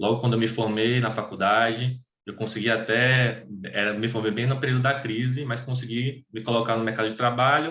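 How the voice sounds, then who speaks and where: At a fairly quick pace, a man talks in a bright, sharp tone with monotone, flat intonation. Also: medium pitch for a man. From Bahia, Brazil (Salvador). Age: 20s. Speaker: tax auditor. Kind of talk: personal testimony in an online meeting. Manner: halting, many fillers and restarts.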